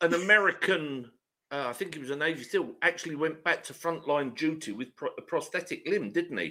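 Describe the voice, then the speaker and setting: Fairly quick and fairly high-pitched, a man's voice comes across bright and sharp, with vocal fry. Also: ordinary pitch variation. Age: 50s. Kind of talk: casual chat.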